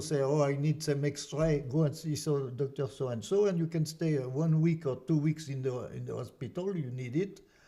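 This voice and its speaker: A man's fairly high voice in a French accent, dark and mellow in tone and somewhat breathy, at a moderate pace with ordinary pitch variation. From France. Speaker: artist and activist. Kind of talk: casual interview. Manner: halting, many repetitions.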